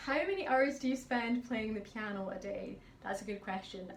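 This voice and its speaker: With a Highland Scottish accent, a woman speaks at a fairly high pitch with ordinary pitch variation, amid noticeable background noise and audible room echo. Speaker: pianist. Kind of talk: casual Q&A vlog. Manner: chatty.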